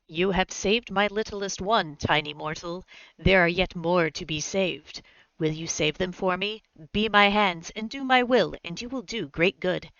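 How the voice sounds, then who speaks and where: In a put-on character voice, a woman talks at a moderate pace in a medium pitch. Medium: actual play. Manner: solemn, commanding.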